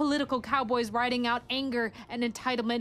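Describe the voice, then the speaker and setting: Speaking with an American accent, a woman uses a high pitch. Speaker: spoken word poet. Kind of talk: spoken word poetry performance.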